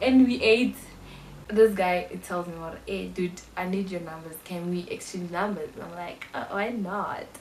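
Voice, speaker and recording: A woman speaks in an animated tone, with audible room echo and noticeable background noise around her. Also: ordinary pitch variation, moderate pace. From South Africa. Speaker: YouTuber, university student. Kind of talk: casual vlog storytelling.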